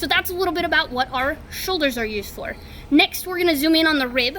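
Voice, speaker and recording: A woman talks very fast in a raised, projected voice with ordinary pitch variation, and noticeable background noise is present. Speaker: high school agriculture teacher. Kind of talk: tutorial.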